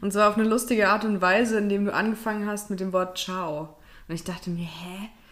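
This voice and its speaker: A woman's normal speaking voice at medium pitch, fairly quick, with fairly even intonation. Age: 30s. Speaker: podcast co-host. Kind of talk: casual chat.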